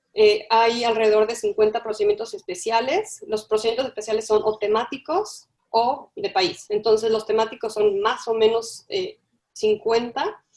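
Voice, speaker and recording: Speaking at a moderate pace, a woman with an ordinary speaking voice uses a fairly high pitch and ordinary pitch variation. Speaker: webinar moderator presenting human rights mechanisms. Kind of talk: webinar presentation. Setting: online webinar.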